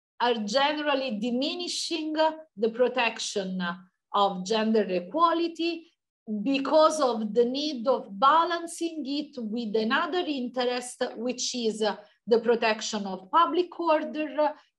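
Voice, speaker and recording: With an Italian accent, a woman talks at a fairly slow pace in a high pitch with lively intonation. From Italy. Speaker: law professor. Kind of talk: academic Q&A answer. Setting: video call.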